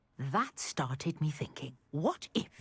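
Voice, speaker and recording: Growling in a put-on character voice, the speaker sounds enthusiastic and goes at a fairly slow pace. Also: woman, very deep, low pitch for a woman. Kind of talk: polished British game voice acting. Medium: video game. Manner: refined, articulate, enthusiastic.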